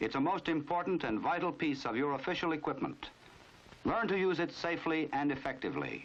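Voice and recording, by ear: A man talks at a fairly quick pace with a fairly bright tone. His pitch is fairly high and moves in big swings.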